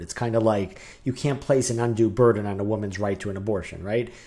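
In a very clean recording with a silent background, a man speaks at a medium pitch with a dark, mellow tone and a somewhat breathy quality. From New Hampshire. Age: 40s. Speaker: podcast co-host. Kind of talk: casual chat.

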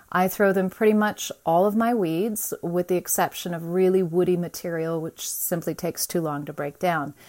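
A woman with a plain, everyday voice, pitched fairly low, at a moderate pace. Her intonation stays fairly even, with hardly any pauses. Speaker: gardener, backyard chicken keeper. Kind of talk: recorded persuasive message. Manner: blunt, frank.

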